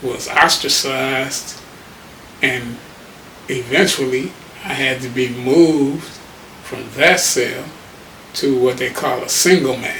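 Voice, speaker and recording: Over noticeable background noise and audible room echo, a man with an American accent and medium pitch talks at a very slow pace with long, frequent pauses, fairly even intonation and big swings in loudness. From Detroit, Michigan. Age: 70s. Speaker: HIV advocate. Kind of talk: interview testimony.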